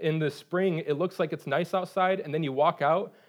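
Against a quiet background, a man with an American accent and a plain, everyday voice speaks fairly quickly, fairly high in pitch, with fairly even intonation. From Michigan. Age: 30s. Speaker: pastor. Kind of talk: sermon.

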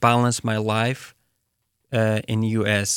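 A man with a medium pitch speaks in an Afghan accent on a very clean recording with a silent background. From Afghanistan. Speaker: refugee and cultural advisor at a relief nonprofit. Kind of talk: interview.

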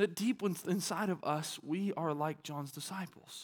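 A man with a Southern US accent at a moderate pace, with ordinary pitch variation, on a very clean recording with a silent background. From Arkansas. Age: 30s. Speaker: pastor. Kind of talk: sermon.

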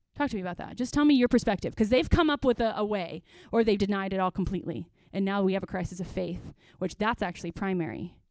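In a very clean recording with a silent background, a woman speaks at a very fast pace. Her pitch is medium and her intonation lively. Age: 30s. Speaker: pastor. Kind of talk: church workshop talk. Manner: conversational.

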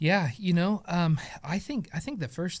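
A man talks at a moderate pace with an American accent. His pitch varies in an ordinary way. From Oklahoma. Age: 30s. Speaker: theology teacher, pastor. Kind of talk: casual chat.

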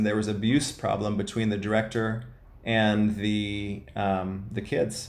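Someone speaks in an American accent with audible room echo. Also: man. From US Midwest, Ohio. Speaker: missionary running a halfway house. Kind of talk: interview, personal testimony.

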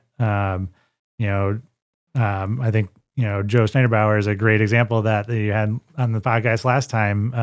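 A man with an American accent speaks at a moderate pace in a fairly low voice, his intonation monotone and flat, on a very clean recording with a silent background. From Sterling, Illinois (US Midwest). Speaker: gym owner and personal trainer. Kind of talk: casual interview chat. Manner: halting, many fillers.

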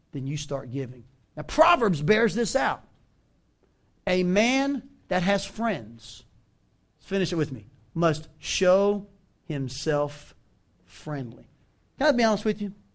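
A man's very slow speech with a Southern US accent, high in pitch, with very wide pitch swings and long, frequent pauses. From US South. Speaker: pastor. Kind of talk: sermon. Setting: church.

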